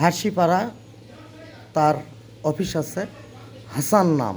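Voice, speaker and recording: Ordinary pitch variation runs through this man's speech. His pitch sits fairly high. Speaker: vlogger. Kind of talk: personal testimony monologue. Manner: animated, confrontational.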